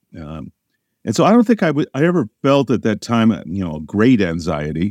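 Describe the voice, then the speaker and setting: A man with an American accent speaks at a fairly quick pace with lively intonation. The sound is dry and close with no echo, over a quiet background. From US Midwest, southern Illinois. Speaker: atmospheric science professor. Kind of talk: interview.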